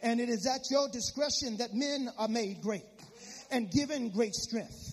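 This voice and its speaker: A man's extremely high-pitched voice comes through in an animated tone with ordinary pitch variation. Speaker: preacher. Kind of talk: sermon. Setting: church. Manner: animated, exhorting the congregation in call-and-response.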